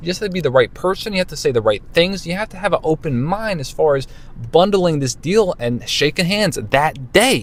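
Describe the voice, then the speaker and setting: The delivery comes at a fairly quick pace with lively intonation. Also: man, high pitch for a man. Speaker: car salesman. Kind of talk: tutorial. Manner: fast; casual, conversational.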